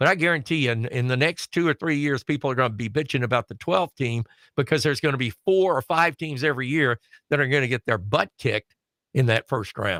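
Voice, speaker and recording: With a Southern US accent, a man talks at a very fast pace in a bright, sharp tone. The sound is dry and close, without echo. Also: medium pitch for a man, ordinary pitch variation. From Alabama, US South. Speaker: wrestling show panelist. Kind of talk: casual chat.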